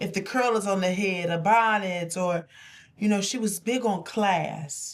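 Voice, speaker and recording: At a fairly slow pace, a woman speaks in a plain, everyday voice at a medium pitch with ordinary pitch variation. The recording is very clean and the background silent. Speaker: talk show co-host. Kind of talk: casual chat.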